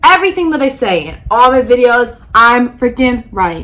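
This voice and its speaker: In an animated tone, a woman with a fairly high voice talks at a moderate pace. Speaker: podcast host. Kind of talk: casual vlog talk. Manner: loud.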